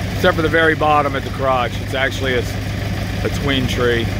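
The voice comes at a moderate pace with a dry sound and no echo, over loud background noise. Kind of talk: casual vlog commentary. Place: garden. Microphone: phone near.

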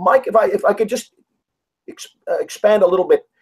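A man talks at a fairly quick pace in a high voice. His pitch varies in an ordinary way, with a slightly husky edge.

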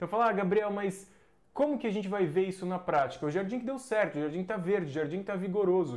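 Lively intonation marks this man's high-pitched voice. He talks at a very fast pace against a quiet background. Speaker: agronomist teaching landscaping professionals; landscaping agronomy educator. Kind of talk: live stream lecture. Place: home room. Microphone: lapel.

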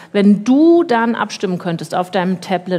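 A woman speaks at a moderate pace with a dark, mellow tone and a medium pitch. Her voice is somewhat breathy, and her intonation is lively. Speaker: radio host and panel moderator. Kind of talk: moderated panel discussion. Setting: stage, livestreamed event.

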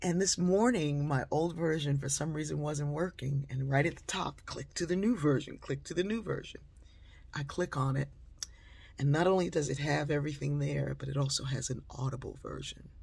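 A woman with a very deep, low pitch and vocal fry speaks at a moderate pace. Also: ordinary pitch variation. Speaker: inspirational speaker and author. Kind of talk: storytelling monologue. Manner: conversational with frequent fillers. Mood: warm, animated. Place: home room. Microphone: phone near.

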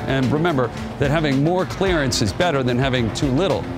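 Clear music plays behind a man as he speaks. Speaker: TV show host. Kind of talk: tutorial. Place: garage. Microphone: lapel.

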